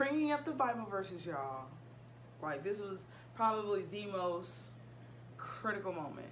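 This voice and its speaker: A woman with an American accent swings her pitch very widely amid noticeable background noise. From Ohio, USA. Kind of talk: casual storytime talk to camera. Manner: goofy, chatty.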